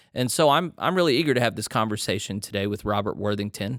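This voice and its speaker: A man with an American accent talks at a very fast pace in a fairly low voice. The recording is very clean, with a silent background. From Texas. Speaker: podcast host. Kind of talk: interview conversation.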